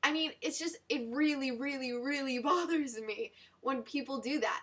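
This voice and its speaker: A woman projects her raised voice at a moderate pace, high in pitch with a bright, sharp tone and ordinary pitch variation. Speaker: dancer. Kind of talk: casual talk to camera.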